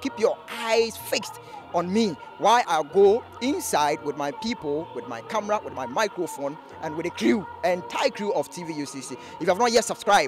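The sound is dry, with no echo. Music plays clearly in the background. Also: man, moderate pace. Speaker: TV presenter. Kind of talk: presenter piece to camera. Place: street. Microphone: handheld.

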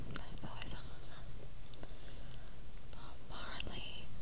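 The woman's speech proceeds at a very slow pace. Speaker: home video maker. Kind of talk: casual talk to camera. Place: home room. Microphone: phone near.

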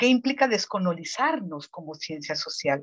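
Over a quiet background, a woman speaks at a fairly slow pace with very wide pitch swings. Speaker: researcher commentator. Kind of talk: formal commentary. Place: home room. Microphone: earbuds.

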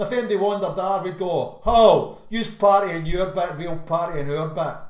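Ordinary pitch variation in a Glaswegian accent, with audible room echo. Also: man. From Glasgow, Scotland. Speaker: slam poet. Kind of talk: slam poetry performance. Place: home room. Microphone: webcam.

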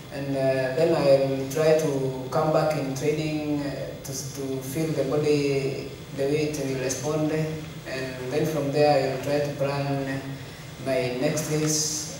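A man speaks at a very slow pace in a fairly high voice, flat and monotone. Strong room echo surrounds him, with light background noise. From Kenya. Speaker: elite marathon runner. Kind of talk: press conference interview. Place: hall.

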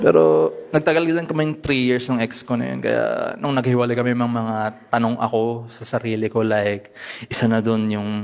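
Using a plain, everyday voice, a man talks at a moderate pace with medium pitch. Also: ordinary pitch variation. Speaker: stand-up comedian. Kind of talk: stand-up.

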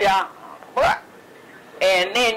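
A medium-pitched woman with a Southern US accent, noticeable background noise behind her. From Mississippi. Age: 80s+. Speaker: retired midwife. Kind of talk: interview answer. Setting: home recording.

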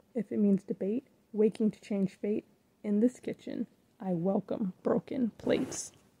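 A woman's somewhat breathy, medium-pitched voice with a dark, mellow tone, fairly even intonation, and a dry, close sound with no echo. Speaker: poet. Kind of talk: spoken word poetry performance.

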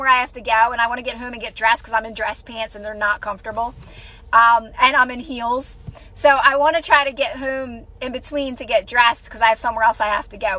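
Putting on a character voice, a woman speaks at a very fast pace in a high, raspy voice. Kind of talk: casual live-stream chat. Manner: talking really quickly, rushed.

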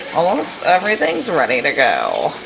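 Over clear background noise, a woman talks with vocal fry.

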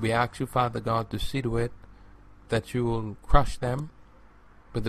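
A man talks at a fairly slow pace with a medium pitch. His voice is somewhat breathy, and his intonation stays fairly even. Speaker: pastor leading prayer. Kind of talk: fervent deliverance prayer, spiritual warfare binding spirits. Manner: insistent, repetitive incantatory cadence with refrain; commanding, declarative pleading tone.

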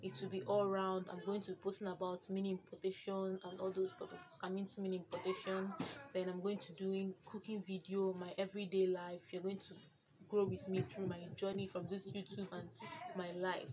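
A woman at a fairly quick pace with monotone, flat intonation, amid noticeable background noise. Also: medium pitch for a woman. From Nigeria. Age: 20s. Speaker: vlogger. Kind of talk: vlog intro. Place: home room. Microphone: phone near.

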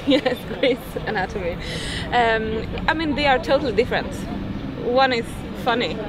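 Amid loud background noise, a woman speaks at a moderate pace with long, frequent pauses, the sound dry with no echo. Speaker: interviewer. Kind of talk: interview questions. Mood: relaxed, smiling. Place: waterside.

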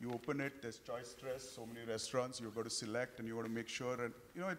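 A man talks fast at a medium pitch.

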